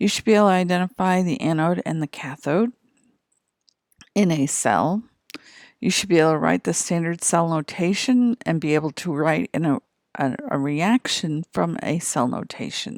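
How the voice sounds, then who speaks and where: In an ordinary speaking voice, a woman speaks at a moderate pace with a fairly low pitch and lively intonation, the sound dry and close with no echo on a very clean recording with a silent background. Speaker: chemistry teacher. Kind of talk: lecture.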